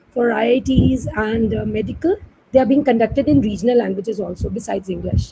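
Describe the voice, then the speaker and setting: A woman with an Indian accent, at a fairly quick pace. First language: Hindi. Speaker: moderator. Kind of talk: panel discussion. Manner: formal.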